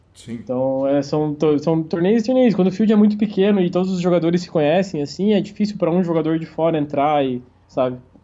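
A man talks at a fairly quick pace. His pitch sits high. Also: ordinary pitch variation. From Santa Catarina, Brazil. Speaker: professional poker player. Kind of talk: interview.

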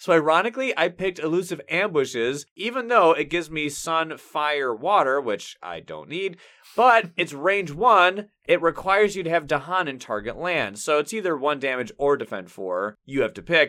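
A man speaks at a moderate pace in a fairly high pitch, his bright, sharp tone swinging very widely in pitch. He barely pauses, and the recording is very clean with a silent background. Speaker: board game podcast host. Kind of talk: casual chat.

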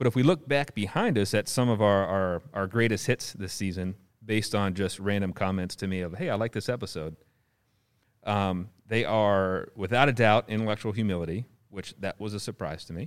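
A man with a normal speaking voice talks fairly quickly at a fairly low pitch. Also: ordinary pitch variation, very clean recording, silent background. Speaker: podcast host and university instructor. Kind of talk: casual chat.

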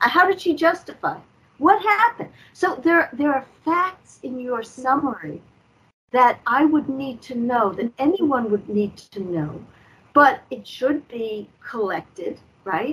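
Speaking at a fairly slow pace, a woman uses a high voice with very wide pitch swings and big swings in loudness. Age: 60s. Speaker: guest activist against judicial corruption. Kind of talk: interview on talk show.

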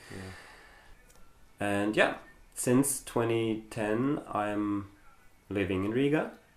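A man's fairly low voice with fairly even intonation and audible room echo. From Germany. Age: 30s. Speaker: club president and translator. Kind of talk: casual interview. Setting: home living room.

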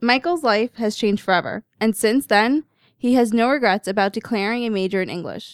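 Recorded dry and close with no echo on a very clean, silent background, a woman speaks in a normal speaking voice at a fairly high pitch, with ordinary pitch variation and a moderate pace. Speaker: student podcast host. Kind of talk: casual chat.

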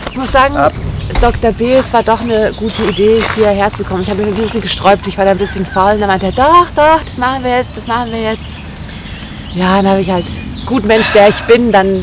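Noticeable background noise sits behind a woman whose fairly high voice moves at a fairly quick pace with ordinary pitch variation. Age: 30s. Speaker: podcast co-host. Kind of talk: casual chat. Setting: outdoors by a river.

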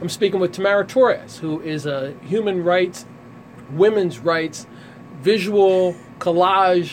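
Noticeable background noise lies behind the voice. A man with a high pitch speaks at a fairly slow pace. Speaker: radio show host. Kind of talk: radio interview. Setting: studio.

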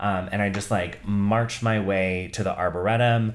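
Audible room echo surrounds a man with a fairly low pitch who speaks with a Californian accent. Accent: General American, Californian. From US West Coast, Bay Area (Santa Clara). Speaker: content writing team lead in tech. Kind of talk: casual chat.

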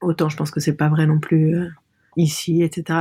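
A woman with a very deep, low pitch talks at a moderate pace in a monotone, flat intonation. Her somewhat breathy voice has a dark, mellow tone, dry and close with no echo. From Lebanon. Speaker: artist and designer. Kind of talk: interview. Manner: halting.

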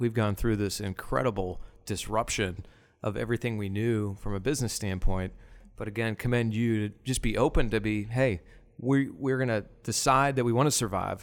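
At a moderate pace, a man speaks in a normal speaking voice of medium pitch with ordinary pitch variation, on a very clean recording with a silent background. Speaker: podcast host. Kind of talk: casual interview chat.

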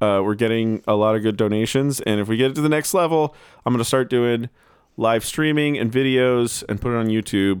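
This man has an ordinary speaking voice with an American accent and medium pitch. He talks at a fairly quick pace with ordinary pitch variation. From New Jersey. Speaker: podcast host. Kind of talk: casual interview chat.

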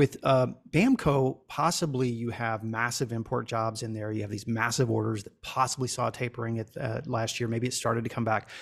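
A man with a medium pitch speaks fairly quickly and with fairly even intonation. The recording is very clean, with a silent background. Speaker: industry guest. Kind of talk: casual panel chat.

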